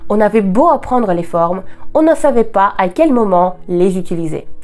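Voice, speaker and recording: With music in the background, a woman speaks at a fairly slow pace with very wide pitch swings. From Russia. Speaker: Russian language teacher. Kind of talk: language lesson talk to camera.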